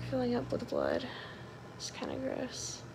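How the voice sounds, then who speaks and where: A woman speaks over noticeable background noise. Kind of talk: casual vlog chat. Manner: weak, drowsy post-surgery voice, pacifier in mouth. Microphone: phone near.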